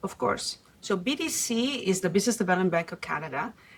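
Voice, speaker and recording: In a slight Italian accent, a woman speaks at a medium pitch with ordinary pitch variation. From Italy. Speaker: venture capital investor. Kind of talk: podcast interview. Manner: hesitant fillers.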